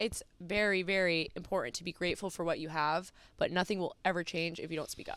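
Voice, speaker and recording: A woman speaks very fast at a fairly low pitch with fairly even intonation and an American accent. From US Northeast, New Jersey. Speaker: college track and field athlete. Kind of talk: podcast interview.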